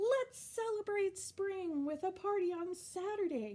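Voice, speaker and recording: A woman's squeaky put-on character voice, extremely high in pitch and fairly slow in pace. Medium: read story. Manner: determined.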